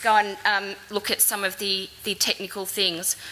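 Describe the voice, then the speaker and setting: A woman talks at a moderate pace. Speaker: conference presenter. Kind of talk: conference presentation. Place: hall. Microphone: podium.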